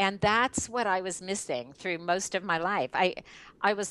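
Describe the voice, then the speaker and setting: The background is quiet. An ordinary speaking voice moves at a fairly slow pace. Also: woman. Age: 60s. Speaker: network marketing leader. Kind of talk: interview.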